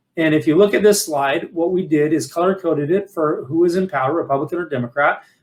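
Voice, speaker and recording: At a fairly quick pace, a man talks in a high voice with ordinary pitch variation. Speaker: financial advisor and firm CEO. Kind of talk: webinar presentation. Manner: fast.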